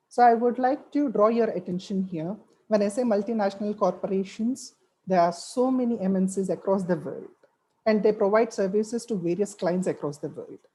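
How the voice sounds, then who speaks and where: A woman's medium-pitched, somewhat breathy voice, dark and mellow in tone, at a fairly quick pace with ordinary pitch variation. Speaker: webinar speaker, French language professional. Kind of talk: webinar talk.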